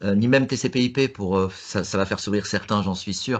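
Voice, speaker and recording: A man speaks at a fairly quick pace with a fairly low pitch. His intonation is fairly even, against a quiet background. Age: 60s. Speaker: tech expert. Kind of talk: panel discussion. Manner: halting.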